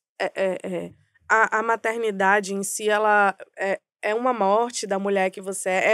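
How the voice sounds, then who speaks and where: Against a quiet background, a woman with a fairly high voice is heard in a dry recording without echo. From Bahia, Brazil (Salvador metro area); Bahia, Brazil. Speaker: advertising strategy director; podcast guest. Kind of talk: podcast interview. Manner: halting, many fillers. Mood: reflective, personal. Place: studio. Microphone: studio mic.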